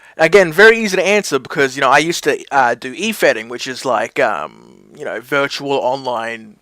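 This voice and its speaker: A man with an Australian accent speaks at a moderate pace in a bright, sharp tone with a fairly high pitch and lively intonation. The recording is very clean, with a silent background. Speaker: wrestling mashup creator. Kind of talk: casual Q&A talk to camera.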